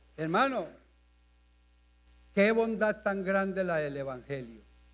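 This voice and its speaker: This man's voice comes with audible echo from the room. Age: 70s. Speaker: pastor. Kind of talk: sermon. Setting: church.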